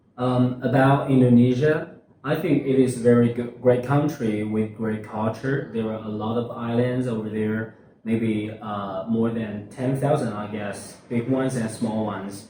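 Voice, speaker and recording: Speaking at a fairly slow pace with medium pitch and fairly even intonation, a man comes through amid noticeable background noise and audible room echo. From China, Hunan Province. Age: 20s. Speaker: university student. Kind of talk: interview. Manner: halting, many fillers.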